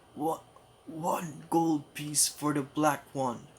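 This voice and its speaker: A man puts on a raspy character voice, fairly high in pitch. He talks at a fairly slow pace with monotone, flat intonation. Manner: disguised voice.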